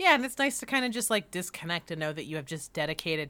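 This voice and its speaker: A woman speaks in a bright, sharp tone with lively intonation. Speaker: convention podcast co-host. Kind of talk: casual chat.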